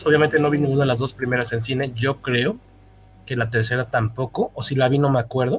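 Somewhat breathy, a man with a Mexican accent talks at a very fast pace. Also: medium pitch for a man, fairly even intonation. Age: 40s. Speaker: podcast host. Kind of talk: casual chat.

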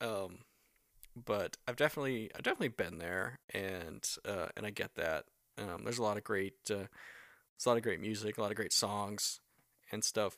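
In a very clean recording with a silent background, a man with an American accent and a normal speaking voice talks at a moderate pace and a fairly low pitch, the sound dry and close with no echo. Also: ordinary pitch variation. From US South. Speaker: podcast host. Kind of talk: casual chat.

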